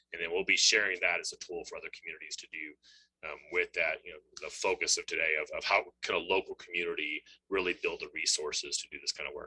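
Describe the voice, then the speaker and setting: The sound is dry and close with no echo as a man speaks at a very fast pace with big swings in loudness. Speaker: webinar moderator. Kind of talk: webinar closing remarks.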